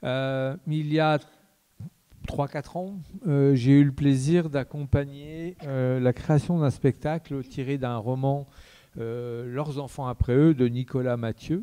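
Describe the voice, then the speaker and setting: Very slowly, a man speaks in a fairly high pitch. His tone is dark and mellow, and his intonation is fairly even. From Lorraine, France. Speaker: theatre director. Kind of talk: public talk introducing a debate. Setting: theatre with audience. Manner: halting, many hesitations and repetitions.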